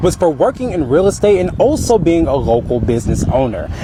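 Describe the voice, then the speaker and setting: Against noticeable background noise, a man speaks with very wide pitch swings. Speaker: TV news reporter. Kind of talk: TV news report.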